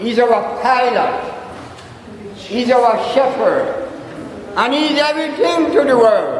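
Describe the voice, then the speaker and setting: A man talks at a very slow pace with long, frequent pauses. Light background noise and audible room echo are present. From Jamaica. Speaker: church elder. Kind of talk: sermon-like religious talk. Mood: earnest, testifying faith. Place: church. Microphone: handheld.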